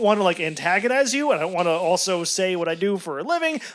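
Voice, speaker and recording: Noticeable background noise sits under this recording. Through it, a man speaks at a very fast pace. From New York. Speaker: podcast co-host. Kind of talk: casual chat.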